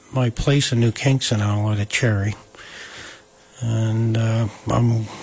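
Amid noticeable background noise, a man with an American accent talks at a fairly slow pace and medium pitch. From Delaware County, New York. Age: 60s. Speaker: wood artist and former sawmill owner. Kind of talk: casual chat.

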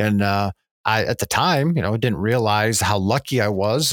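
Recorded dry and close with no echo, a man with an American accent speaks at a medium pitch with ordinary pitch variation in an unremarkable speaking voice. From northern Pennsylvania. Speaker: wildlife biologist. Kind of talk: interview.

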